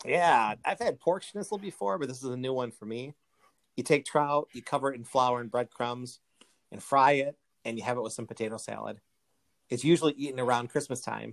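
A man with an American accent and a normal speaking voice talks at a fairly quick pace, medium in pitch with ordinary pitch variation. The sound is dry and close with no echo, and his loudness swings a lot. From United States. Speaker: podcast host. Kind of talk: casual chat.

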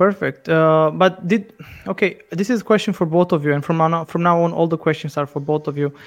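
Here a man talks at a fairly quick pace. His pitch is high, with ordinary variation. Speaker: podcast host and regional politician. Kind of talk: casual interview. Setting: video call.

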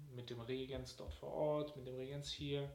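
A man's medium-pitched voice carries audible room echo along with noticeable background noise. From Germany, Cologne. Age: 20s. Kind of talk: interview.

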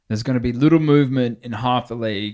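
Here a man with a British accent speaks at a moderate pace with fairly even intonation. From UK. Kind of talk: casual banter. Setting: in the room studio.

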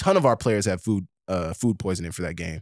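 Dry and close with no echo, this very clean recording with a silent background captures a plain, everyday voice with an American accent at a fairly quick pace. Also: man. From Oklahoma, Tulsa area. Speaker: former college football wide receiver. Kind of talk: casual interview.

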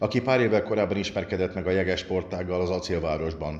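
Using a normal speaking voice, a man speaks at a fairly quick pace and a fairly low pitch. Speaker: podcast host. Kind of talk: interview.

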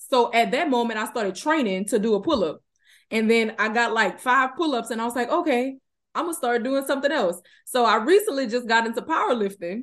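With a Southern US accent, a woman talks fairly quickly in a high voice with lively intonation. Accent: Southern US, noticeable. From Louisiana, US South. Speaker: fitness business co-owner and trainer. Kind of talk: casual interview chat. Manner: laughs often, friendly.

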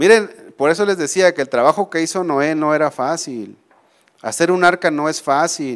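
A man with a plain, everyday voice, fairly high in pitch, ordinary pitch variation, moderate pace. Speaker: preacher. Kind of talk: sermon. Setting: church.

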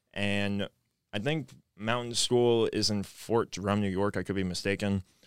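With an American accent, a man speaks at a moderate pace in an unremarkable speaking voice, his fairly low pitch held to fairly even intonation. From Maryland, near Washington DC. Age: young. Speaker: college lacrosse player and ROTC cadet. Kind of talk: casual interview.

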